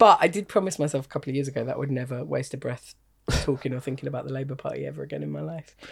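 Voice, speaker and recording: In a southern English accent, a woman talks at a very fast pace. Her loudness swings widely. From Kent, England. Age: 40s. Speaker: stand-up comedian. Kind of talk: casual chat.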